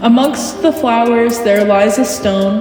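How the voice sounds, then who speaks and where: A woman's fairly high voice at a very slow pace, fairly even in intonation, with music in the background. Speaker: poet. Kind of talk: poetry reading.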